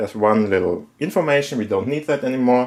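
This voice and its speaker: Music plays in the background as a man with a German accent speaks with lively intonation. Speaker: tech YouTuber. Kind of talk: tech tutorial talk to camera.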